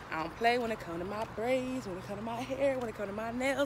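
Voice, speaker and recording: Very fast speech in a dry recording with no echo, with noticeable background noise. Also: woman. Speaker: vlogger. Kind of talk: casual vlog chat. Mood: playful then irritated. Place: street. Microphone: phone near.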